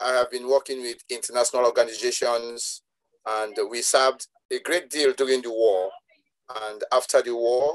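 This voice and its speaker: Behind the speaker, all is quiet. His delivery moves at a medium speed, and the speaker is a man. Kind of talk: interview answer. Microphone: video call.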